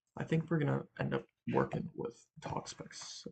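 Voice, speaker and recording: In a dry, close sound with no echo, a man speaks quietly at a fairly slow pace. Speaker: Pokemon draft league player and content creator. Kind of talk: casual solo commentary on team building. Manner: quiet, late-night talking; hesitant, many ums.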